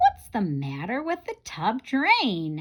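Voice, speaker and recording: The put-on character voice moves at a very slow pace. Its pitch swings very widely. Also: woman. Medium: read story.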